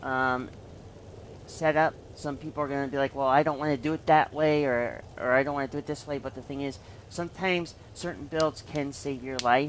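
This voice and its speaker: A woman speaks at a moderate pace with a very deep, low pitch. Her intonation stays fairly even. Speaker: gaming streamer. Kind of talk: game tutorial. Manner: halting, many fillers.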